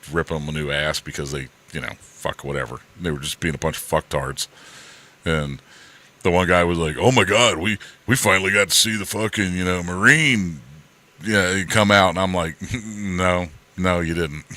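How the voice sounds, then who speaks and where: A man with very deep, low pitch at a moderate pace, with long, frequent pauses and noticeable background noise. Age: 60s. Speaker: stream co-host, former Marine. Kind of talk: casual chat.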